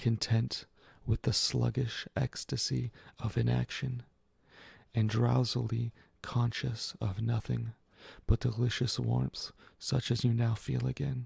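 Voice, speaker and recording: A soft-spoken man talks at a fairly slow pace with long, frequent pauses, in a dry, close sound with no echo. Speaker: ASMR reader. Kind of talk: ASMR reading of a literary story. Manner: soft, quiet.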